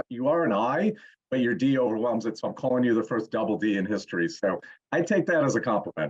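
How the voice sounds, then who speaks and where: With an ordinary speaking voice at medium pitch, a man talks at a fairly quick pace. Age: 60s. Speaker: fitness coach and motivational speaker. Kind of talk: casual interview chat.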